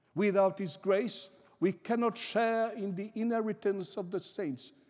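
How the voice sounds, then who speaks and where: Pitched high, a man speaks with a dark, mellow tone. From small island in the Indian Ocean. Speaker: Anglican clergyman, visiting preacher. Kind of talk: sermon. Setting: church. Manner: formal.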